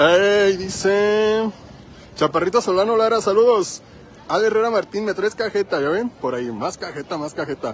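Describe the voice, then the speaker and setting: Crowd noise sits in the background as a man with a high pitch speaks with ordinary pitch variation in a dry sound with no echo. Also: moderate pace. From Michoacán, Mexico. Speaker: live-stream vlogger. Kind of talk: live stream walking tour chat. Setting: outdoors. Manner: animated. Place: street. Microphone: phone near.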